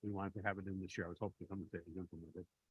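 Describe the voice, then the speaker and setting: Fairly low-pitched man's voice with a Chicago accent. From Chicago, US Midwest. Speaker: benefits vendor representative. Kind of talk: committee meeting presentation.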